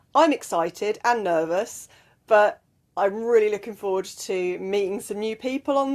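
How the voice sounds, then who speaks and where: The intonation is lively. The pace is moderate. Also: woman. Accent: English. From southwest England. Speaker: life and mindset coach. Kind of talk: motivational talk to camera. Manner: casual, with fillers.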